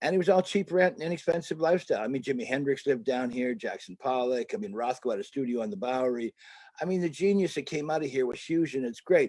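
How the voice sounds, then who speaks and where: A man talks at a very fast pace. His fairly high pitch rides a lively intonation. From Canada. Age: 70s. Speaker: artist and photographer. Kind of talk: interview.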